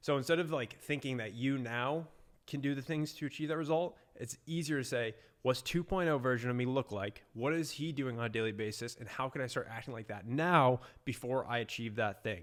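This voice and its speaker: Speaking in an American accent, this is an unremarkable speaking voice at a fairly quick pace with ordinary pitch variation. The recording is very clean, with a silent background. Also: man, medium pitch for a man. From US Northeast, Boston, Massachusetts. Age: 20s. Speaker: entrepreneur, agency owner. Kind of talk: casual vlog talk to camera. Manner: casual with many fillers.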